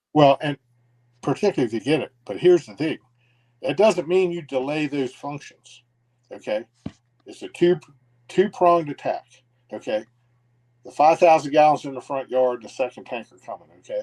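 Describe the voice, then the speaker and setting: A man with a fairly high voice speaks at a moderate pace with ordinary pitch variation, big swings in loudness and long, frequent pauses, in a dry, close sound with no echo. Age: 60s. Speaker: retired fire battalion chief. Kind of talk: casual interview conversation.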